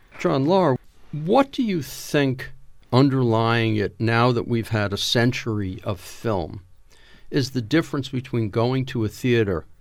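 With a normal speaking voice, a man at medium pitch speaks fairly slowly with lively intonation in a very clean recording with a silent background. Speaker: podcast host. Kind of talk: interview.

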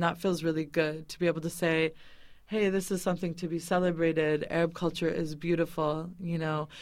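A woman with an American accent in an ordinary speaking voice, fairly low in pitch, fairly even intonation, moderate pace, very clean recording with a silent background. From New England, US (Boston). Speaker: food caterer and activist. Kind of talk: interview. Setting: studio.

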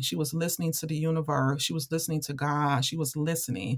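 With an American accent, a woman with an ordinary speaking voice talks at a fairly low pitch and moderate pace, with ordinary pitch variation. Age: 40s. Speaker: author and activist. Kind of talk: interview.

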